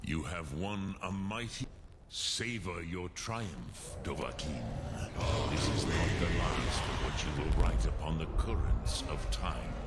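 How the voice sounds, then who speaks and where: Over loud background noise, a man puts on a character voice with a very deep, low pitch and talks at a fairly slow pace. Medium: video game. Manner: slow, solemn, grave.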